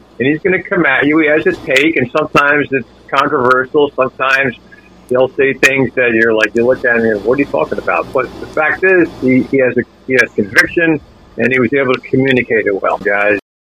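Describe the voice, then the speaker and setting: A man speaks at a fairly quick pace, his pitch varying in an ordinary way. Noticeable background noise can be heard behind him. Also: medium pitch for a man. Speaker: sports radio anchor. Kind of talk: casual chat.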